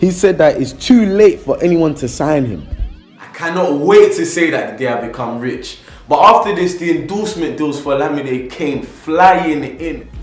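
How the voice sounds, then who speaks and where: Against music in the background and audible room echo, a man with a high pitch talks at a moderate pace, with ordinary pitch variation and big swings in loudness. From England. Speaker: YouTuber, music biography narrator. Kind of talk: casual vlog intro; biographical narration. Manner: chatty, informal.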